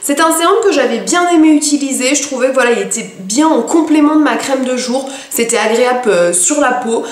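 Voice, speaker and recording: Amid noticeable background noise and audible room echo, a woman speaks at a high pitch and a moderate pace with lively intonation. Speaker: beauty vlogger. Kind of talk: product review vlog. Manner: hesitant, many fillers.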